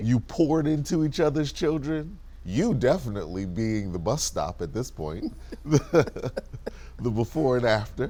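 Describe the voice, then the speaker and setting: A man speaks fairly slowly at a medium pitch, his tone dark and mellow with vocal fry. His pitch swings very widely. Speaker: interview host, civic organization vice president. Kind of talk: interview question.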